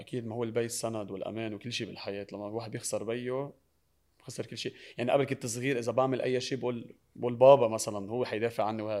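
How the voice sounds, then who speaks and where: Delivering his words at a very fast pace, a man speaks with a medium pitch, a dark, mellow tone and monotone, flat intonation. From Lebanon. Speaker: singer and social media personality. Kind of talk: TV talk show interview.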